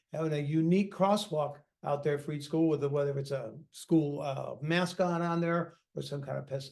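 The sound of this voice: Speaking at a fairly quick pace, a man uses a fairly high pitch with vocal fry, ordinary pitch variation and a slightly mellow tone.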